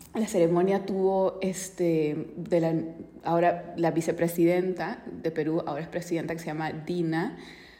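A woman speaks in a fairly low pitch. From Peru. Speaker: financial educator. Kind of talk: casual podcast monologue on finance and politics. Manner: conversational, frequent 'ok?' tags.

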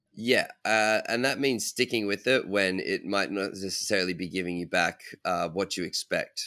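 A man speaks at a fairly quick pace with an Australian accent. His tone is bright and sharp. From Australia (Brisbane). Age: 20s. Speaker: parkour athlete. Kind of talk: interview.

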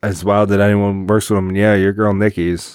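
A man's fairly low voice, fairly quick in pace, with monotone, flat intonation. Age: 30s. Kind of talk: casual chat. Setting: basement home recording.

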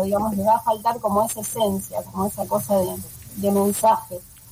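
Noticeable background noise sits behind the recording. A woman talks at a fairly quick pace. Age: 40s. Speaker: animator. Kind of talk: interview. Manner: halting.

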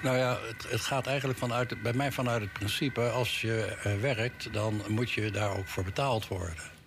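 Audible room echo surrounds a man at a medium pitch. He keeps a moderate pace, very even loudness and ordinary pitch variation. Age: old. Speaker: city councillor. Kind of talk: radio interview. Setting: studio. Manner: halting.

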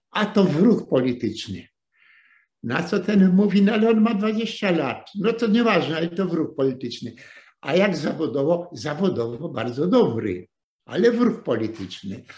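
Pitched high, a man speaks at a fairly slow pace with very wide pitch swings. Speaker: retired journalist lecturing on history. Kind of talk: lecture. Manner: halting, with repetitions.

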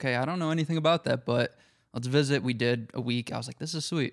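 A man with a normal speaking voice and an American accent, medium in pitch, with ordinary pitch variation, on a very clean recording with a silent background. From upstate New York, Syracuse. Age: 20s. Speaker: podcast guest. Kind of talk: casual chat.

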